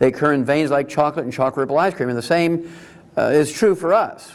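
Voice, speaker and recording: A man talks at a very fast pace. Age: 70s. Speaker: naturopathic doctor giving a health talk. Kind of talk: lecture. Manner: animated.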